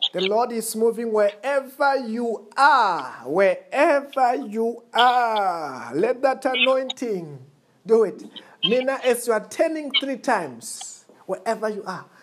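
In a very clean recording with a silent background, a woman speaks very slowly at a fairly high pitch with lively intonation. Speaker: pastor. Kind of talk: fervent call-and-response deliverance prayer, congregation repeating each line. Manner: emphatic, commanding proclamations.

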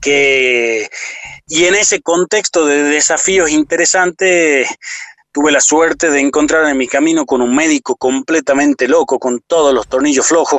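An unremarkable speaking voice, the man's has a fairly high pitch, ordinary pitch variation and a fairly slow pace. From Argentina, Salta province. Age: 40s. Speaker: motivational speaker. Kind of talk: interview conversation.

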